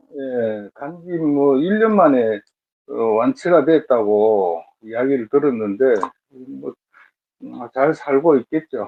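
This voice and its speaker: A man with a medium pitch speaks at a very slow pace, with long, frequent pauses. His intonation is lively and his loudness swings widely. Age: 60s. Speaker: matchmaking show participant. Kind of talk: interview. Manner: halting.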